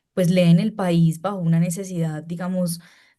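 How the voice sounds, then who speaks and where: This woman's voice has a dark, mellow tone at medium pitch. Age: young. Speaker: panelist in education discussion. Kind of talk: panel discussion. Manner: halting, many fillers.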